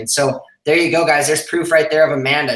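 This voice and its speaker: Over audible room echo, a man talks at a fairly quick pace with fairly even intonation. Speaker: online business coach. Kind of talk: live stream. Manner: fast.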